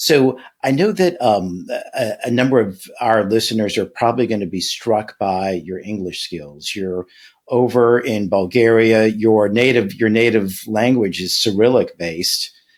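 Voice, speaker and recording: This man's medium-pitched speech comes fairly slowly, showing ordinary pitch variation. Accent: American. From Louisiana, US South. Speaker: podcast host. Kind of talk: interview podcast.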